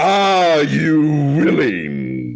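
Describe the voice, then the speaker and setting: A man puts on a raspy character voice with a fairly high pitch. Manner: intimidating.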